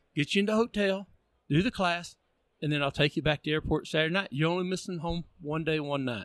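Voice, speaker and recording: A man with a Texan accent at a fairly high pitch and very fast pace, ordinary pitch variation, dry, close sound with no echo, very clean recording, silent background. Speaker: automotive training organizer. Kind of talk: casual chat.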